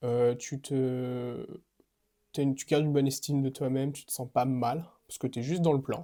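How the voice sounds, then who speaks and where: A man's fairly high-pitched voice is captured on a very clean recording with a silent background. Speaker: fitness coach. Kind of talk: casual vlog monologue. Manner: fast; hesitant, many fillers.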